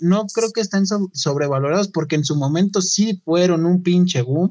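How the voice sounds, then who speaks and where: Pace is moderate. Pitch shifts in an ordinary way. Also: man. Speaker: podcast co-host. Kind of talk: casual chat.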